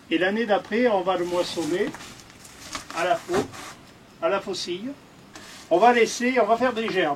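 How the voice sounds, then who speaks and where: Over noticeable background noise, the speech moves at a fairly slow pace with long, frequent pauses and ordinary pitch variation. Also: man, high pitch for a man. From France, Haute-Loire, Mézenc plateau. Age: 60s. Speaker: retired postman and thatcher. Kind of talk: demonstration interview. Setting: in a barn. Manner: halting, many hesitations.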